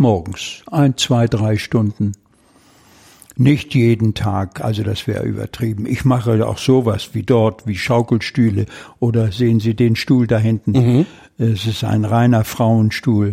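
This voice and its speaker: A man's somewhat breathy voice, dark and mellow in tone, at a fairly slow pace with fairly even intonation. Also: medium pitch for a man. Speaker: retired mechanical engineer working in a carpentry workshop. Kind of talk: interview. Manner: halting.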